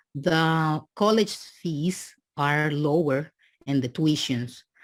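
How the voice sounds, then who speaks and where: With a strong Dominican accent, a woman speaks at a very slow pace on a very clean recording with a silent background. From Dominican Republic. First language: Spanish. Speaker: immigrant student. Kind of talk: podcast interview. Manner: halting.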